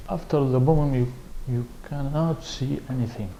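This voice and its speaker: A man talks fairly slowly amid audible room echo and noticeable background noise. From Iraq. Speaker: refugee, former security guard. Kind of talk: testimony. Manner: halting.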